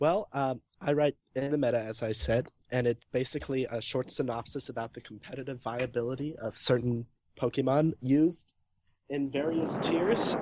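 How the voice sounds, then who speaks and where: Dark and mellow in tone, a man speaks at a moderate pace with ordinary pitch variation. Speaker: Pokemon competitive writer. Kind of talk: casual chat.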